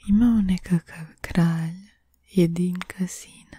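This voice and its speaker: Someone is whispering. The sound is dry with no echo, and the background is quiet. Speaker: ASMR artist. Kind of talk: folk tale reading. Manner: whispered. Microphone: studio mic.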